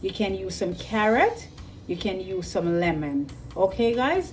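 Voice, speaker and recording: A woman speaks with music in the background. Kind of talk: tutorial. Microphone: phone near.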